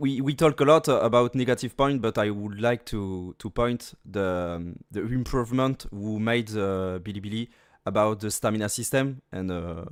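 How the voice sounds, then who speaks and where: A man speaks at a moderate pace with a French accent, his fairly low pitch showing ordinary variation. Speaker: gaming content creator. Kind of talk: casual interview Q&A. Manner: halting.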